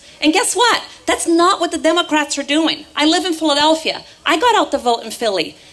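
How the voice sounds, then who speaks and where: Talking at a fairly quick pace, a woman with an extremely high pitch and lively intonation leaves hardly any pauses. Noticeable background noise runs underneath. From Brazil, Rio de Janeiro. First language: Portuguese. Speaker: political activist. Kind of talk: political rally speech. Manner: animated.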